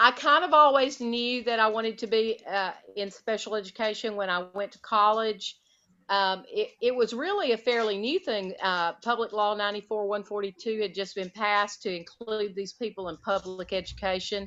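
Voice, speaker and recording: With a Southern US accent, a woman speaks at a moderate pace in a fairly high pitch, her pitch varying in an ordinary way. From US South (Alabama). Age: 50s. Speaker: retired special education teacher. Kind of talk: interview conversation.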